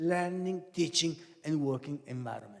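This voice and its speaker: Speaking with an Italian accent, this is a man. His pitch is high. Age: 70s. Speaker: professor. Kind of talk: lecture. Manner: halting.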